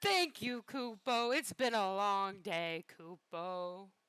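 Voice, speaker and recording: Putting on a character voice, a woman talks at a very slow pace with a medium pitch and ordinary pitch variation. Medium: actual play. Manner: ends every sentence with a verbal tic.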